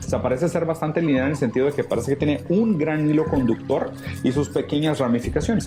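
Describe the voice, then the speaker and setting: A man speaks at a fairly high pitch. Music can be heard in the background. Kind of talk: philosophy lecture talk.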